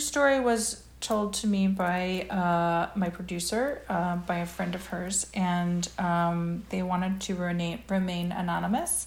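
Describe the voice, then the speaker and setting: A woman speaks very slowly in a somewhat breathy voice, her medium pitch moving with ordinary variation. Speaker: TV writer and producer. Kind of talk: casual chat. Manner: halting.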